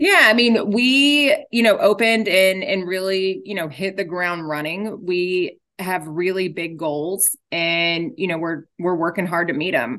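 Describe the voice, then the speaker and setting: Against a quiet background, a woman with an American accent speaks fairly slowly with hardly any pauses, in a medium pitch with ordinary variation and a bright, sharp tone. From Texas, Dallas area. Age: 40s. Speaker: insurance agent. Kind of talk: casual interview.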